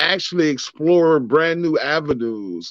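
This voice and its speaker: With an American accent, a man talks at a fairly slow pace in an ordinary speaking voice, fairly high-pitched for a man, with lively intonation, a dry, close sound with no echo, and a quiet background. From US Midwest, inner-city Cleveland, Ohio. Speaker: co-host, father and military veteran. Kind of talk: casual chat.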